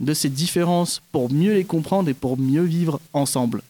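Here a man talks at a fairly slow pace. His pitch is fairly high and his tone dark and mellow. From French Guiana (Kourou). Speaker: stage actor. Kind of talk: interview.

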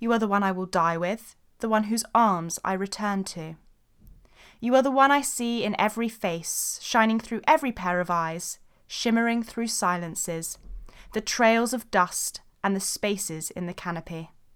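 On a very clean recording with a silent background, a woman speaks at a moderate pace and medium pitch in an unremarkable speaking voice, with ordinary pitch variation. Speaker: podcast host, daughter of co-host. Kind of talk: casual chat.

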